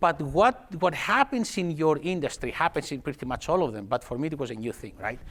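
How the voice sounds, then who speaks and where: A man with a Greek accent talks at a fairly quick pace in a fairly high pitch, his voice making very wide pitch swings. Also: hardly any pauses. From Greece, Athens. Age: 50s. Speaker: technology executive. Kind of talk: conference talk. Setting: stage with audience. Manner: fast.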